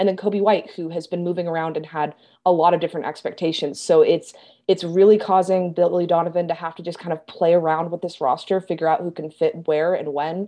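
A woman with an American accent speaks fairly quickly in a fairly low pitch, with a dark, mellow tone and monotone, flat intonation. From US Midwest, Kansas City. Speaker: sports journalist. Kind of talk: podcast interview. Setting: remote call.

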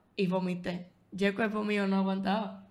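In a room with audible echo, a woman speaks fairly slowly at a medium pitch with monotone, flat intonation. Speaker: podcast co-host. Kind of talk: casual chat.

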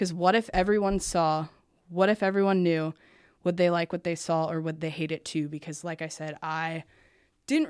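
At a moderate pace, a woman with a fairly low pitch talks in an ordinary speaking voice on a very clean recording with a silent background. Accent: American. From US Midwest, small-town Indiana. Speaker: podcast host and interview guest. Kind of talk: personal testimony interview. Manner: casual, filler-heavy.

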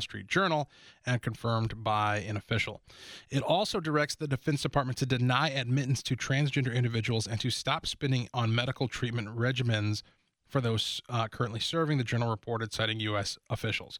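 A man's medium-pitched voice with ordinary pitch variation and a fairly quick pace, dry and close with no echo, on a very clean recording with a silent background. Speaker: radio host. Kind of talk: talk radio monologue, newsreading. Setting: radio studio. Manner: formal newsreader cadence, measured and steady reading headlines; opinionated, conversational, with hesitations.

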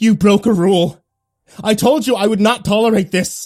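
This put-on character voice sits at a fairly high pitch and sounds shrill and growling. The pace is moderate. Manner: roaring, menacing.

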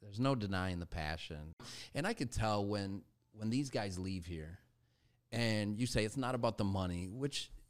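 A normal speaking voice at a moderate pace, lively intonation, and a very clean recording with a silent background. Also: man. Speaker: podcast co-host. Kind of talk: casual interview chat.

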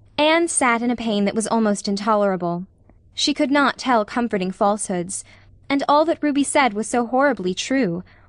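A plain, everyday voice from a woman, fairly high-pitched with lively intonation. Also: moderate pace. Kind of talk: literary audiobook reading. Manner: measured, lyrical, calm narration.

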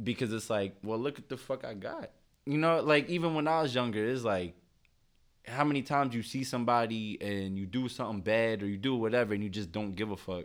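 In a very clean recording with a silent background, a man speaks fairly quickly at a medium pitch with ordinary pitch variation. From Philadelphia, US. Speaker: clothing brand founder and rapper. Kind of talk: casual interview chat. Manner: animated.

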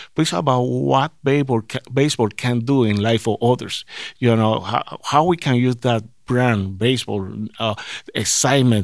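A man speaks in a Puerto Rican accent. His pitch is medium, with ordinary variation. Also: moderate pace. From Puerto Rico. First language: Spanish. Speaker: sports team diversity director. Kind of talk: interview. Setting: on location at a ballpark office. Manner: halting.

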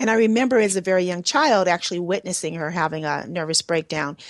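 A woman talks in an ordinary speaking voice at medium pitch. Her pitch variation is ordinary, and the sound is dry and close with no echo. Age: 50s. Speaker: radio host and energy healer. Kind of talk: radio interview show.

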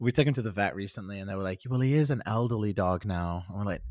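Talking at a very fast pace, a man delivers his words with lively intonation. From north-west England, near Manchester. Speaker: musician, solo project artist. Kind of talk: casual interview.

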